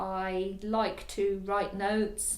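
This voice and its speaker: Amid audible room echo, a woman speaks at medium pitch with monotone, flat intonation. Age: 60s. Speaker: counselling client. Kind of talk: testimony. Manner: halting.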